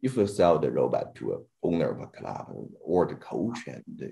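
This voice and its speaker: A man speaks with a Chinese accent. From China. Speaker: robotics scientist. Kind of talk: panel discussion. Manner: halting.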